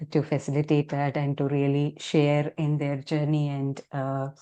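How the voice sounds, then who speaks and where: Over a quiet background, a woman speaks in a very deep, low pitch with a dark, mellow tone. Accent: Tamil. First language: Tamil. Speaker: health coach. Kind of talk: interview.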